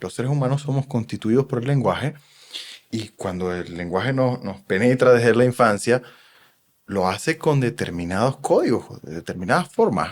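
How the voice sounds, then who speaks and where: The intonation is lively. The pace is moderate. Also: man, medium pitch for a man. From Venezuela. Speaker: psychoanalyst. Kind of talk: podcast interview.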